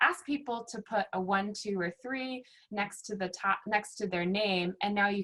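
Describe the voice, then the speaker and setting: A woman's unremarkable speaking voice with an American accent, medium pitch, ordinary pitch variation and a moderate pace. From Virginia, US. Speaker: workshop facilitator. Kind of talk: online workshop presentation.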